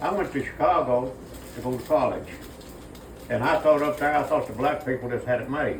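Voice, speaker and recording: A man speaks fairly quickly in an Appalachian accent, his pitch fairly high. Room echo is audible, and background noise is noticeable. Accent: Appalachian Southern US. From Kentucky mountains, US. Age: 80s+. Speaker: elderly interviewee sharing life memories. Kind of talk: casual street interview.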